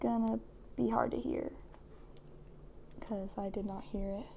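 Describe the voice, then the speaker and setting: This is a woman speaking. Her tone is dark and mellow. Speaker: gamer. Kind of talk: casual gameplay tips talk. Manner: hesitant, many filler words and stutters.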